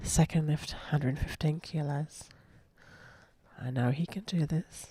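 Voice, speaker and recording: Whispering from a soft-spoken woman with an Australian accent, somewhat breathy, at a fairly slow pace. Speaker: sports commentator and coach. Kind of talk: live commentary. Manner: whispering, soft.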